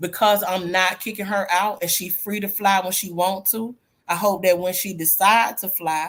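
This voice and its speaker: In a normal speaking voice, a woman talks at medium pitch and moderate pace with fairly even intonation. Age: 50s. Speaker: group chat panelist. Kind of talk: casual chat.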